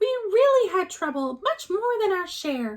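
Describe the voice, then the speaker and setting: In a squeaky, put-on character voice, a woman speaks at a moderate pace at an extremely high pitch with very wide pitch swings. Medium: read story.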